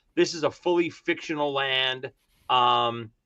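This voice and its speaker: A man speaks in a Brooklyn accent. His intonation stays fairly even. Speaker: author of a fantasy novel, KISS fan. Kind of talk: casual chat.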